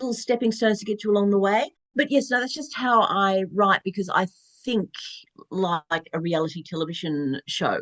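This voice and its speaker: A woman with an Australian accent at medium pitch, lively intonation and a moderate pace, in a dry, close sound with no echo. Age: 60s. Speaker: novelist. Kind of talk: interview.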